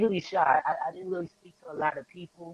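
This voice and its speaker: At a fairly quick pace, a man talks with a New York accent in a dry, close sound with no echo. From New York, the Bronx. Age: 20s. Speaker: rapper. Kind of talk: interview. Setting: live-streamed video call.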